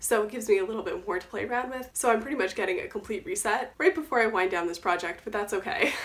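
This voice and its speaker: Over noticeable background noise, a woman speaks at a very fast pace with hardly any pauses. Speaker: beauty YouTuber. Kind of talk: casual talk to camera.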